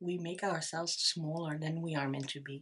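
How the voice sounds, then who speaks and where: A woman's somewhat breathy voice, fairly low in pitch, with fairly even intonation. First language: Dutch. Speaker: tarot reader. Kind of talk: tarot reading monologue. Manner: halting, many fillers.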